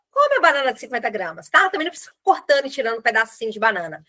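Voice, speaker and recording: A woman raises and projects her voice. Her pitch is high. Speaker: nutritionist. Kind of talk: online group meeting talk.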